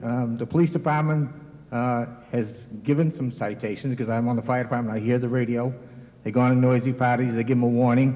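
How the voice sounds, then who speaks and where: With noticeable background noise, a man speaks at a medium pitch in a fairly even intonation. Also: fairly quick pace. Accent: American. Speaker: town resident, fire department member. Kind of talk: public comment at town meeting. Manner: halting.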